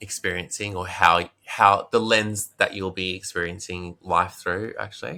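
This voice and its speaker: A man's very deep, low voice with a bright, sharp tone and an Australian accent, monotone and flat in intonation, on a very clean recording with a silent background. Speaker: meditation teacher and Vedic astrologer. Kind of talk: interview answer.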